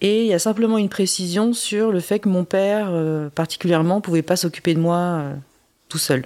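In a very clean recording with a silent background, a woman with a medium pitch and a dark, mellow tone speaks at a moderate pace with ordinary pitch variation. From France (adopted from South Korea before age 3). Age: 40s. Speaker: adoptee sharing her story. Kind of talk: testimony. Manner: halting.

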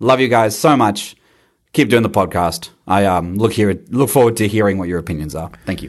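A man talks at a fairly quick pace with an Australian accent. His voice sits fairly low in pitch. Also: ordinary pitch variation, quiet background. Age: 30s. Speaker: listener leaving voicemail. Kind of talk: voicemail.

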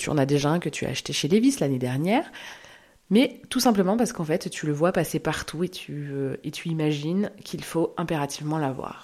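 In a very clean recording with a silent background, a woman with a very deep, low pitch speaks at a moderate pace and with lively intonation. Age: 30s. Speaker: podcast host. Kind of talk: solo monologue podcast.

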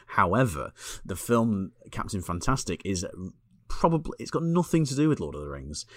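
A man with a Lancashire accent, in a very clean recording against a silent background. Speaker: podcast co-host, film reviewer. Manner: monotone, flat delivery.

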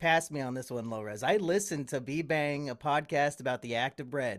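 Speaking at a moderate pace with lively intonation, a man has an unremarkable speaking voice at a fairly high pitch. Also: very clean recording, silent background. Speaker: YouTuber. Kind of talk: casual chat.

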